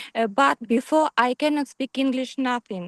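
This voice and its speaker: A woman speaks in a high voice with fairly even intonation. The sound is dry and close with no echo, over a quiet background. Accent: Ukrainian. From Ukraine. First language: Ukrainian. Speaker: webinar attendee. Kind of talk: audience question. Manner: halting.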